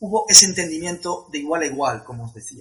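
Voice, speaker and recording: A man's high-pitched voice at a moderate pace. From Spain, Madrid (Leganés). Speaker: travel coordinator. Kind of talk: interview.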